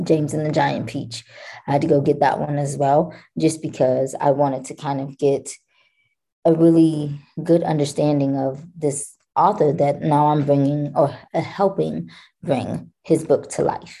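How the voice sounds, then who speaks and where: In a dark, mellow tone, a woman with a very deep, low voice and vocal fry speaks fairly slowly with fairly even intonation. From Kentucky. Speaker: actress. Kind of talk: interview, casual chat.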